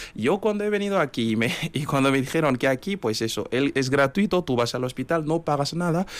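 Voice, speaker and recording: The speech moves at a fairly quick clip with lively intonation. Background noise is noticeable throughout. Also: man, fairly high pitch for a man, very even loudness. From Benin, Kérou. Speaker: radio contributor. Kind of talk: radio interview. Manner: halting.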